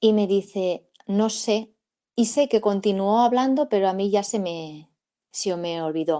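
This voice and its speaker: Speaking at a very slow pace against a quiet background, a woman has a dark, mellow tone, medium pitch and ordinary pitch variation. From Catalonia, Spain (province of Barcelona). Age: 40s. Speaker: witness recounting UFO sighting. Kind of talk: testimony. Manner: hesitant, many fillers and repetitions.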